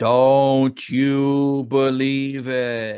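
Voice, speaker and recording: A put-on character voice in a low-to-middle pitch, delivered in a monotone, flat intonation. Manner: creepy, unsettling.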